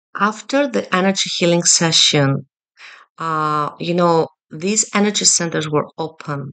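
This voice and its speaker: A woman with a non-native accent and a fairly low pitch speaks at a fairly slow pace with ordinary pitch variation. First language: not English. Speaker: Reiki energy healer. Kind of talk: personal video message to a client. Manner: halting, many fillers.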